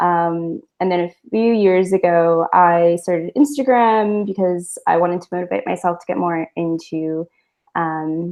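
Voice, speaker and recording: This woman has a normal speaking voice, fairly low in pitch, in an American accent. She speaks at a fairly slow pace with ordinary pitch variation. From United States. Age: 20s. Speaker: artist, art journaler. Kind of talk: casual interview.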